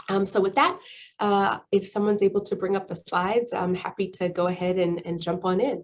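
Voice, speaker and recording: At a fairly quick pace, a woman with a medium-pitched voice speaks with fairly even intonation. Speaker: public health physician and official. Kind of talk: presentation with slides. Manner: fast; many fillers (um, uh).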